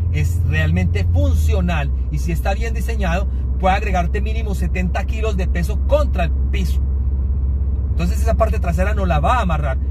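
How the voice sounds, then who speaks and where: Over noticeable background noise, a man with a very deep, low pitch speaks at a moderate pace in a monotone, flat way at very even loudness, the sound dry with no echo. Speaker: car reviewer. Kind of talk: car review commentary. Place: car.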